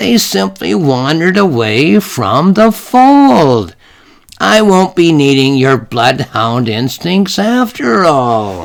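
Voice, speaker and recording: Putting on a character voice, a man speaks very slowly at a medium pitch with very wide pitch swings. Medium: read story. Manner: warm, chatty, motherly.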